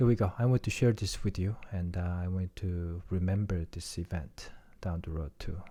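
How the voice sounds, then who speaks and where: Against a very clean, silent background, a man with a non-native accent talks at a moderate pace in a very deep, low, somewhat breathy voice with ordinary pitch variation. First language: not English. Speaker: podcaster. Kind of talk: reading aloud; casual chat. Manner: halting.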